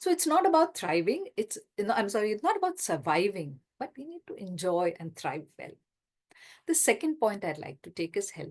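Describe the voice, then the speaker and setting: A woman with an Indian accent speaks with very wide pitch swings. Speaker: retirement lifestyle coach and author. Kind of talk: talk in an online workshop session.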